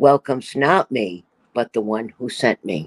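A man at a fairly slow pace with ordinary pitch variation, a normal speaking voice, in a dry, close sound with no echo. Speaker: scripture reader. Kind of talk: reading scripture aloud.

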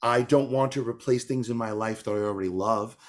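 A man with an American accent at a very fast pace, medium pitch and ordinary pitch variation. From New York. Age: 40s. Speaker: tap dancer and author. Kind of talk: casual interview. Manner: animated.

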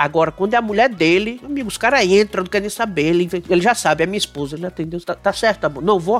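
A man with a high pitch talks at a very fast pace with hardly any pauses and ordinary pitch variation. Music plays in the background. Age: 40s. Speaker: podcast host. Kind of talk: casual chat.

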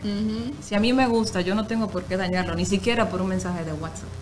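The woman's delivery is fairly quick. Echo from the room is audible, and background noise is clearly heard. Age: 30s. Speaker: radio announcer and actress. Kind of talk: casual chat.

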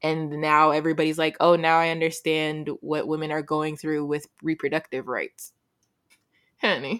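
A woman's very deep, low voice, monotone and flat, at a moderate pace in a very clean recording with a silent background. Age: young. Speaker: podcast co-host. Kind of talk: casual chat.

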